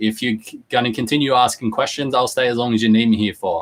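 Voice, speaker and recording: This man speaks with an Australian accent. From Australia, Newcastle NSW. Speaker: online business host. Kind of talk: live stream talk to viewers. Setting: live online video stream. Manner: casual, halting with fillers.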